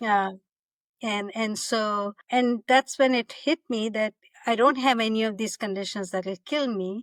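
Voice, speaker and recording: A woman's ordinary speaking voice, fairly high-pitched with ordinary pitch variation, at a fairly slow pace, in a very clean, dry, close recording with a silent background and no echo. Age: 60s. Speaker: company founder. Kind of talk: interview.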